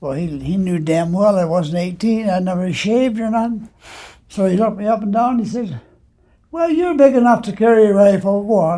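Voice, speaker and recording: Recorded very cleanly against a silent background, a man speaks at a fairly quick pace in a high pitch with ordinary pitch variation. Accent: Ontario. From Ontario, Canada. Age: 90s. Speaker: war veteran. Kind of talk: interview testimony. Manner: halting, repeating words.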